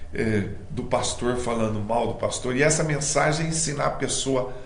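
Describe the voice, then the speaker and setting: Amid noticeable background noise and audible room echo, a man speaks at medium pitch and a moderate pace. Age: 60s. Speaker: missionary preacher. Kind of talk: interview.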